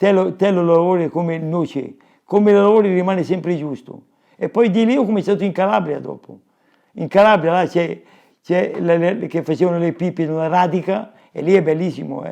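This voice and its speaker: A man talks at a fairly quick pace with a high pitch and a dark, mellow tone. His pitch variation is ordinary. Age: 80s+. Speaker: woodcarver. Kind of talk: casual chat. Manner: halting.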